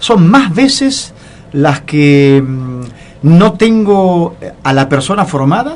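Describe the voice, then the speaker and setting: With very wide pitch swings and very even loudness, a man talks at a very slow pace, leaving long, frequent pauses. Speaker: radio show host, leadership consultant. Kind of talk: radio interview, conversational.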